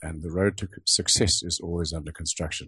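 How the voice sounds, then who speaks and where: In a dry, close sound with no echo and a quiet background, a somewhat breathy man talks at a moderate pace. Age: 70s. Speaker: automotive sculptor. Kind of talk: interview.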